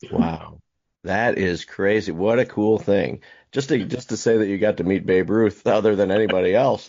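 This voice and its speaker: A man talks at a moderate pace in a plain, everyday voice. His pitch variation is ordinary. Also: fairly low pitch for a man. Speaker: podcast host. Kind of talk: casual interview questions.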